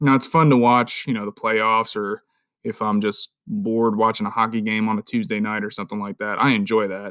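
A man speaks at a fairly quick pace in a medium pitch with fairly even intonation. The recording is very clean, dry and close, with a silent background and no echo. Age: 30s. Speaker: podcast host. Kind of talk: solo monologue podcast. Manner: speaking louder than last episode. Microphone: new microphone.

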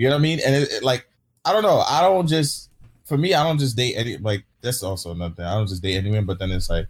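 At a very fast pace, a man with a somewhat breathy, medium-pitched voice makes very wide pitch swings. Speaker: streamer. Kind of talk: casual chat. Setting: video call. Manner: halting.

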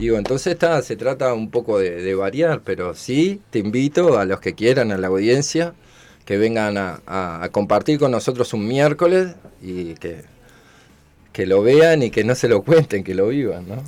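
Speaking fairly slowly in a Uruguayan accent, a man with a medium pitch makes very wide pitch swings, and the recording is very clean with a silent background. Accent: Rioplatense Uruguayan Spanish. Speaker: cook and community radio volunteer. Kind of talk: casual interview. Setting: radio studio.

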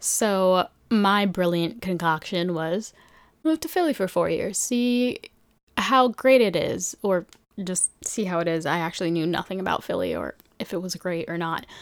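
A woman with an American accent has a normal speaking voice at medium pitch. She talks at a moderate pace with lively intonation in a very clean recording with a silent background. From New York City. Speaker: podcast host. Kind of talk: casual monologue. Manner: chatty, rambling delivery.

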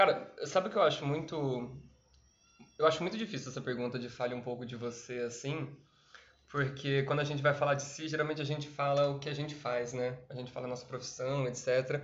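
Male speech at a fairly quick pace, echoing audibly off the room. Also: fairly high pitch for a man. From Brazil, Campinas (São Paulo state). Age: 30s. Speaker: actor and PE teacher. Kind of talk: casual interview chat.

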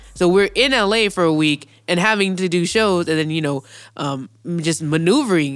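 On a spotless recording with total silence behind it, speech in an American accent unfolds at a medium speed. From Inland Empire, Southern California. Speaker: podcast co-host, music event promoter. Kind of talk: casual chat.

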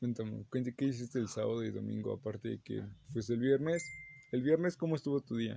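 A man with a Mexican accent speaks at a fairly quick pace. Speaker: podcast co-host. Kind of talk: casual chat.

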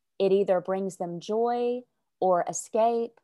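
A woman with a Southern US accent speaks at a medium pitch, with ordinary pitch variation and a dark, mellow tone. The sound is dry and close with no echo, over a quiet background. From US South, Arkansas. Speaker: sales coach. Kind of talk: casual interview.

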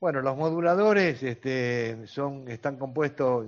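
Ordinary pitch variation from a man, at a fairly slow pace. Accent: Rioplatense. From Argentina. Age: 60s. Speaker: grandparent advocate for cystic fibrosis patients. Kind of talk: interview. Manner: halting, many fillers (este, eh).

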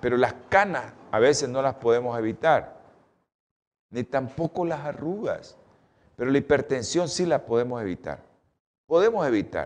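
With lively intonation and long, frequent pauses, a man speaks at a moderate pace in a fairly high pitch. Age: 60s. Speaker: doctor hosting a health show. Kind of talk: health talk.

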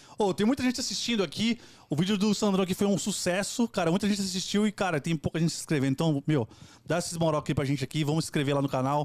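A man at a high pitch, very fast pace and lively intonation, in a dry, close sound with no echo. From Brazil, São Paulo east zone (Itaquera). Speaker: podcast co-host. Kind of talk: casual chat.

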